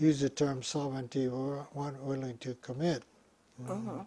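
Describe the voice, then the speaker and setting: A man with a Hawaiian accent speaks at a moderate pace in a dark, mellow tone, his fairly high pitch somewhat breathy and his intonation fairly even. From Hawaii, Honolulu (Kaimuki). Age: 90s. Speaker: retired physician and professor; professor. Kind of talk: interview. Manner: halting. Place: home room.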